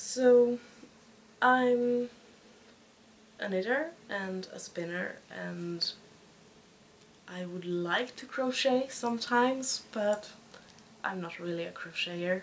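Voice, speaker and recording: Speaking in a Swedish accent at a very slow pace, a woman with a fairly high pitch uses lively intonation, big swings in loudness and long, frequent pauses over noticeable background noise. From Sweden. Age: 20s. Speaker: podcast host, knitter and student. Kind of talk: casual podcast monologue. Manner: halting.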